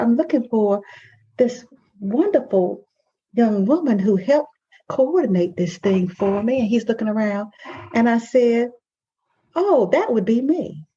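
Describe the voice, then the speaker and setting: Speaking with a Southern US accent at a fairly slow pace, a woman has a fairly high pitch, a dark, mellow tone and lively intonation. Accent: Southern drawl. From US South. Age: 60s. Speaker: life coach and podcast host. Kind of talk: podcast conversation. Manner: animated storytelling.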